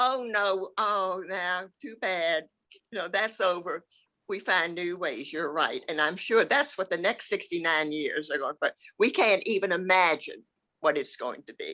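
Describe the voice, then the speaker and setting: On a very clean recording with a silent background, a woman speaks in an American accent. Her voice sits at a medium pitch with a bright, sharp tone. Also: ordinary pitch variation, fairly slow pace. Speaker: longtime church member. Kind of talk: casual conversation.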